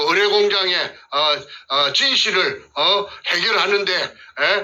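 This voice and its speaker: A man with a Gyeongsang accent speaks in a raised, projected voice at a high pitch with lively intonation. Noticeable background noise is present. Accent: Gyeongsang dialect Korean. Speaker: whistleblower, former elementary school teacher. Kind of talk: testimony. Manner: halting, many fillers.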